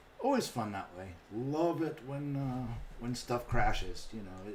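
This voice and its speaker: Audible room echo and noticeable background noise surround a man's voice. He speaks at a moderate pace with lively intonation. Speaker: gaming YouTuber streamer. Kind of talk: live stream chat. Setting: live stream.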